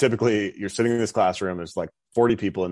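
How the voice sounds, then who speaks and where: A man is speaking. The background is quiet. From North Dakota. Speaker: retired army officer, author and political candidate. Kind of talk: interview about his book.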